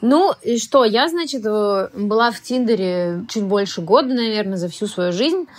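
Using a plain, everyday voice, a woman speaks at a fairly slow pace and fairly high pitch with lively intonation and hardly any pauses. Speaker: actress. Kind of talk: casual chat.

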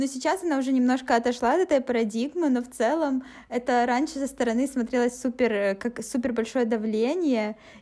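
A woman speaks in a high pitch. Her tone is dark and mellow. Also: ordinary pitch variation, fairly quick pace. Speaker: podcast host. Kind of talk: casual chat.

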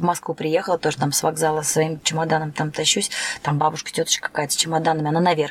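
Noticeable background noise sits behind a woman's voice. She speaks very fast at a fairly low pitch. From Turkmenistan. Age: 30s. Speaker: dance teacher. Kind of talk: casual chat. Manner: animated.

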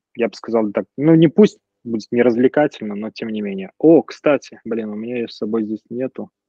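With ordinary pitch variation, this man has an unremarkable speaking voice. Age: 30s. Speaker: graphic designer. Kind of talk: casual chat.

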